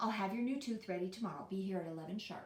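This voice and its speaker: A woman speaks in a put-on character voice at a medium pitch. Her pace is very fast. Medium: read story. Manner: firm, precise.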